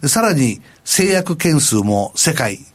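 A man is speaking. His pitch swings very widely. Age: 70s. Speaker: company president. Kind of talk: interview.

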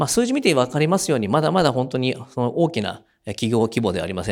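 On a very clean recording with a silent background, a man talks very fast with very wide pitch swings. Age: 50s. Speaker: company CEO. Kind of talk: investor presentation. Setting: stage with audience. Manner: hesitant, many fillers.

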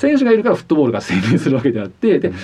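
A man's voice rises and falls very widely against noticeable background noise. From Japan, Hiroshima (Fukuyama). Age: 40s. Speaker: former international football referee. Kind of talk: radio interview.

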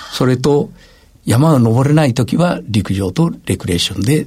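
A man with a somewhat breathy voice speaks at a moderate pace, his intonation lively. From Gifu Prefecture, Japan. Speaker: university president. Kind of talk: radio interview.

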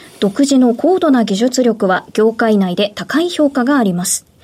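Against noticeable background noise, a woman speaks at a high pitch with very wide pitch swings. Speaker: radio announcer. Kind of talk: radio interview. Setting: studio. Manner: formal.

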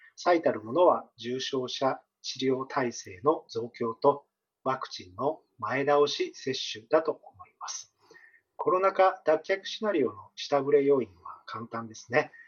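An unremarkable speaking voice from a man, fairly high in pitch and fairly slow, with ordinary pitch variation and big swings in loudness. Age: 40s. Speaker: economist. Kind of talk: interview. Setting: remote call. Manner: formal.

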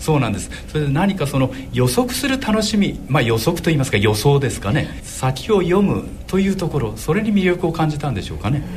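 Against noticeable background noise and audible room echo, a man talks at a fairly quick pace with hardly any pauses and very wide pitch swings. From Shimane, Izumo area. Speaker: dentist and horse racing commentator. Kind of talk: radio interview.

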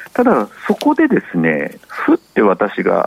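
A man's voice with noticeable background noise. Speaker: market analyst. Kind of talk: market commentary on radio. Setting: phone call. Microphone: phone line.

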